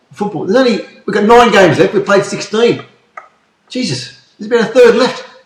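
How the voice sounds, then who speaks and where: Here a man talks at a fairly quick pace. His pitch is high. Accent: Australian. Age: 60s. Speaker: podcast co-host. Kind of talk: casual chat. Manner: animated.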